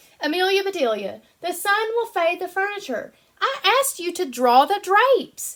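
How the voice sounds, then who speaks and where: A woman performs a put-on character voice at an extremely high pitch, raised and projected. She keeps a moderate pace with very wide pitch swings. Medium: read story.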